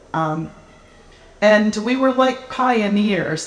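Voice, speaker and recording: There is a woman talking. Behind her, the background noise is noticeable. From US Midwest, Appleton, Wisconsin. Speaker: novelist. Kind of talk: author talk and reading. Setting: live event with audience.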